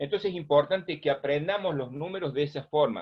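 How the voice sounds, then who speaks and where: A man with an unremarkable speaking voice, fairly high in pitch, at a moderate pace with lively intonation. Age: 60s. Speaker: first aid instructor. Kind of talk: lecture.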